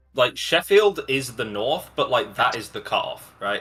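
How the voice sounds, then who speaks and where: This is a man speaking. Music plays in the background. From England, Nottingham. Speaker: esports caster. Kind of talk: live commentary. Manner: casual, joking.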